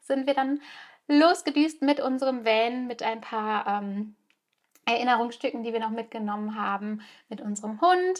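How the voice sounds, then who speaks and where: In a very clean recording with a silent background, a woman talks at a moderate pace in a high pitch with ordinary pitch variation. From Germany. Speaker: podcast host. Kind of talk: personal storytelling monologue. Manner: hesitant with frequent fillers.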